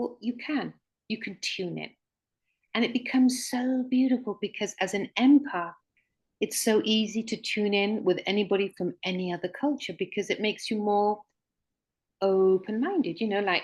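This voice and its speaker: Over a quiet background, a woman with a British accent talks at a moderate pace, her somewhat breathy voice fairly high in pitch with ordinary pitch variation. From Mexico, British community, English-born. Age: 60s. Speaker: author and regression therapist. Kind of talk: interview conversation. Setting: online livestream.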